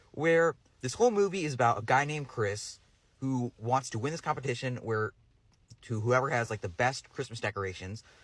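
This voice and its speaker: Over a silent background in a very clean recording, a man talks at a fairly quick pace with lively intonation and a medium pitch, his voice somewhat breathy. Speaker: movie reviewer. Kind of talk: casual review monologue. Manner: halting, many fillers and restarts.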